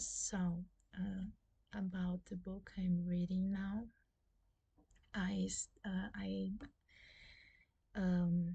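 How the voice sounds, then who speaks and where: Very slow speech in a Brazilian Portuguese accent, broken by long, frequent pauses. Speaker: booktuber. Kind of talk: casual vlog talk. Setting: at home. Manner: halting, many fillers.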